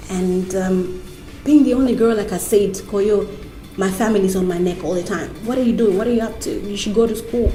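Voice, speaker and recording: The speech moves at a fairly quick pace with fairly even intonation. Music plays in the background, and room echo is audible. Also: woman, medium pitch for a woman. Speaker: TV host. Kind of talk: interview. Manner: loud, vibrant.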